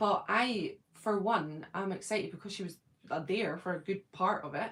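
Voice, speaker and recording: Speaking with a Scottish accent, a woman keeps a moderate pace and medium pitch with ordinary pitch variation. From Scotland, Edinburgh. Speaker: YouTuber, fan channel host. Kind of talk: casual chat.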